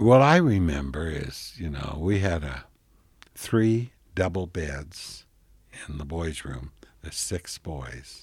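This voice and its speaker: Speaking at a very slow pace, a man with a very deep, low pitch and a warm, somewhat breathy tone uses lively intonation amid big swings in loudness. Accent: western US. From Colorado (Oak Creek, coal-mining town). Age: 70s. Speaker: retired hair salon owner, son of Italian immigrants. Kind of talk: elderly man's reminiscing life story, 2011 radio interview. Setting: radio interview. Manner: meandering, self-correcting with frequent restarts and 'you know'; warm, unhurried recollection.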